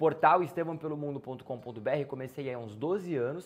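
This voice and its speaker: Fairly high pitch from a man, with ordinary variation in pitch. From Brazil, interior of São Paulo state (Campinas). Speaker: travel youtuber. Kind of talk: casual Q&A vlog. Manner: animated. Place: home room.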